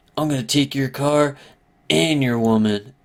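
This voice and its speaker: The speaker puts on a character voice pitched low-to-middle. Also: moderate pace. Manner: held-back, menacing tough guy.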